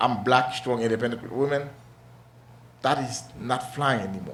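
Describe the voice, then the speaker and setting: Through noticeable background noise and audible room echo, a man speaks at a moderate pace. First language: not English. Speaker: talk show host. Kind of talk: casual discussion.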